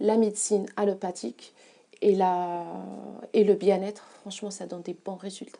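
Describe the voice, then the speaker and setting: Leaving long, frequent pauses, a woman speaks at a medium pitch and moderate pace in a dark, mellow tone, with fairly even intonation and big swings in loudness. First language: not French (speaking French). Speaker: massage therapist. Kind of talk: interview. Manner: halting, many hesitations.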